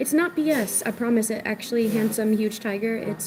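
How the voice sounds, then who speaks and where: Over noticeable background noise, a soft-spoken woman with an American accent talks in a fairly high voice with ordinary pitch movement. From Virginia, US East Coast. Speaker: livestreamer. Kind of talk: live stream chat. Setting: restaurant.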